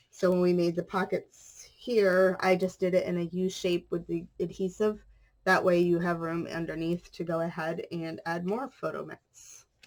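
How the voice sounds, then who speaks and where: A flat, monotone delivery at a moderate pace. There are hardly any pauses. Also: woman, fairly low pitch for a woman. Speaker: craft youtuber. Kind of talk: tutorial.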